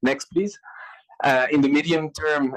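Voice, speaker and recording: A man's voice with ordinary pitch variation. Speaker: public health official presenting a regional strategy. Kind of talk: conference presentation. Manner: halting, many fillers and repetitions; fast.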